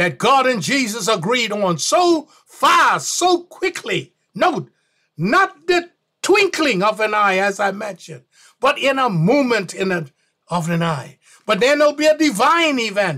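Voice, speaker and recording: A man's raised, projected voice with a bright, sharp tone and very wide pitch swings, at a fairly slow pace against a quiet background. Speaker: bible teacher. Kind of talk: sermon.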